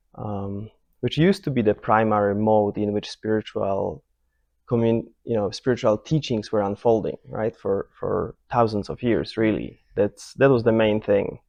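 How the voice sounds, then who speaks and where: Soft-spoken and fairly low in pitch, a man talks at a moderate pace with fairly even intonation. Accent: Polish. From Poland. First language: Polish. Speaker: meditation teacher. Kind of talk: retreat talk. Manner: halting, many repetitions and restarts.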